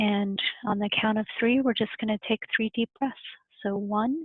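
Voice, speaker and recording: Her pitch sits fairly high. The woman's intonation stays fairly even. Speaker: library staff. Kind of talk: guided breathing exercise.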